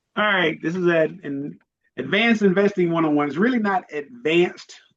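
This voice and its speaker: The pace of this speech is moderate. It comes from a man with an American accent. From Virginia, US. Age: 50s. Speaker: investing coach, retired military. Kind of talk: online class for teenagers. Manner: casual, interactive.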